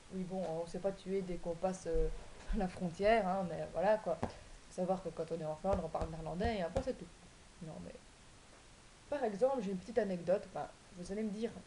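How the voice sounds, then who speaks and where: A woman talks at a fairly quick pace in a somewhat breathy voice. Long, frequent pauses break up her speech. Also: medium pitch for a woman, ordinary pitch variation. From Belgium, Wallonia. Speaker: vlogger. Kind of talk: casual vlog explaining cards. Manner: hesitant, many fillers.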